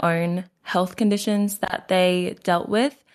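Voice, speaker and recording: The woman speaks at a very slow pace. Her pitch is medium and her intonation fairly even. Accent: Australian. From Queensland, Australia. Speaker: natural health practitioner. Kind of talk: interview.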